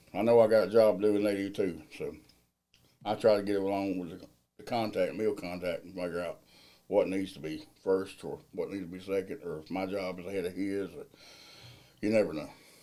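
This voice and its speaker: A man in a Southern US accent, fairly low in pitch and dark, mellow in tone, with fairly even intonation, big swings in loudness and a fairly quick pace. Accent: US South. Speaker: millwright general foreman. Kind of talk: interview. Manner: casual.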